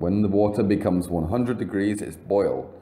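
A man talks with an English accent. His fairly low voice has a dark, mellow tone. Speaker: English teacher. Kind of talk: vocabulary lesson narration. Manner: slow, clear.

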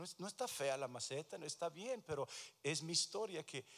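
The speaker uses lively intonation and keeps a moderate pace. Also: man. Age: 60s. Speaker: pastor. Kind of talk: sermon. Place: church. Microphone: handheld.

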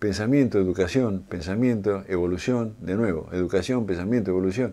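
Lively in intonation and fairly quick in pace, a man speaks at a fairly low pitch with a dark, mellow tone. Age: 70s. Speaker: automotive engineer and lecturer; lecturer. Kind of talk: lecture. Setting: studio. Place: studio.

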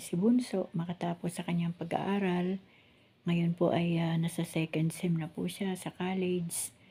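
A woman speaks at a moderate pace in a fairly low pitch. Her intonation is monotone and flat, and her voice is somewhat breathy. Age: 60s. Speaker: vlogger. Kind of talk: casual vlog narration. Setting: outdoors.

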